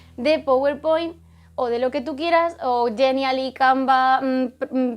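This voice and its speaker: Over music in the background, a woman talks in a high-pitched voice. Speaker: teacher and YouTuber. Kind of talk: tutorial.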